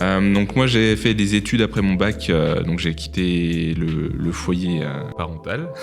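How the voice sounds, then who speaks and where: Music plays behind a man whose very deep voice moves with lively intonation at a very slow pace, with hardly any pauses and audible room echo. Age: 20s. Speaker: podcast host, photographer and hotel worker. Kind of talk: casual podcast conversation.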